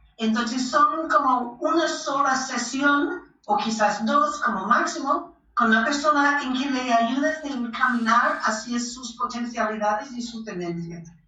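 A woman with a high pitch and ordinary pitch variation, at a fairly slow pace with hardly any pauses, over noticeable background noise. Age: 60s. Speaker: belly dance teacher and author. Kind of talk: interview. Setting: remote call.

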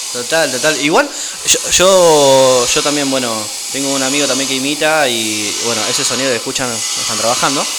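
Fairly even intonation marks this man's speech. Noticeable background noise and audible room echo come through. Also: medium pitch for a man, moderate pace. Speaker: youth radio co-host. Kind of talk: casual chat.

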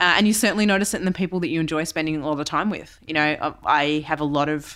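A woman with an Australian accent talks at a very fast pace in a very deep, low pitch with ordinary pitch variation, on a very clean recording with a silent background. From Western Australia. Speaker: CEO and keynote speaker. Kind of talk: interview.

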